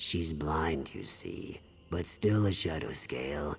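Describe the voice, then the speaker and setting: A man puts on a character voice with a very deep, low pitch. Clear background noise sits behind him. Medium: video game. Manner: mournful, earnest.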